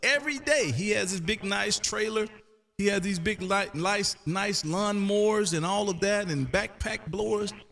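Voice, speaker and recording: A man with an American accent speaks in a high pitch with ordinary pitch variation, over noticeable background noise. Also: moderate pace. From US South (Canton, Mississippi). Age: 50s. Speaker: ham radio live streamer. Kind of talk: casual chat. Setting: radio room, live stream.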